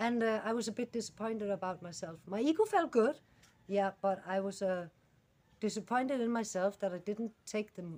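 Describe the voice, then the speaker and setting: A woman with a Danish accent and lively intonation. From Denmark. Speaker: animal rescuer vlogger. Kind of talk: casual vlog monologue. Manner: halting, many fillers.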